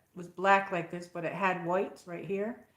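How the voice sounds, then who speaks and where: Fairly quick talking from a woman, with audible room echo. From upstate New York (Saratoga County). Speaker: livestream host. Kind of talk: casual live chat. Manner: rambling, hesitant with fillers.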